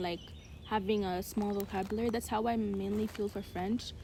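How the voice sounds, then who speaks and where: A woman with an American accent speaks at a fairly quick pace in a fairly high pitch. Her tone is dark and mellow, somewhat breathy, with fairly even intonation. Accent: somewhat American-sounding English. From Uganda. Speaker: podcast co-host. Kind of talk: casual chat.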